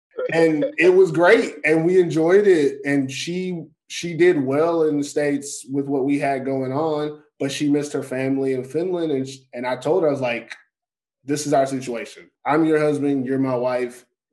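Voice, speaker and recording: With an American accent, a man speaks at a moderate pace in a fairly high voice and an energetic tone. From Texas. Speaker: podcast host, American football player in Europe. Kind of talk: casual chat. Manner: talkative, energetic.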